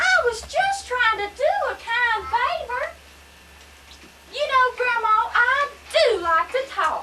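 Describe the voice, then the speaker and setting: A woman's put-on character voice, extremely high in pitch, at a fairly slow pace with long, frequent pauses. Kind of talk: amateur church play.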